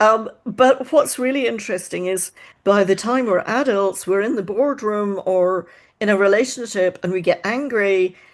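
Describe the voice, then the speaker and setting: Speaking in a Scottish accent, a woman talks at a moderate pace with medium pitch and ordinary pitch variation. The background is quiet. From Scotland. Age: 60s. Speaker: mind-body coach. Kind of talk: podcast interview.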